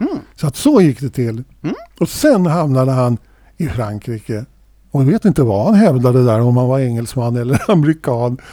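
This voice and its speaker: A man's dark, mellow voice at medium pitch moves at a moderate pace with lively intonation. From Sweden. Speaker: podcast co-host and drummer. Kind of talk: casual chat.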